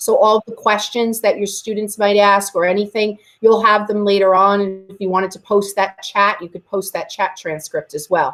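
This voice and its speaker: With hardly any pauses, a woman talks at a medium pitch and fairly even intonation while her loudness swings a lot. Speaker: teacher training colleagues on video conferencing. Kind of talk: tutorial. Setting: video call. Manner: fast.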